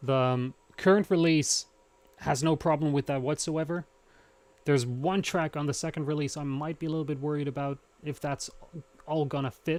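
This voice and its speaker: With a dry, close sound and no echo, a man speaks at a moderate pace in a fairly high pitch, keeping his intonation fairly even and leaving long, frequent pauses. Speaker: electronic musician. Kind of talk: live stream chat while patching modular synth. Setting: live stream. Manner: halting, many fillers and restarts.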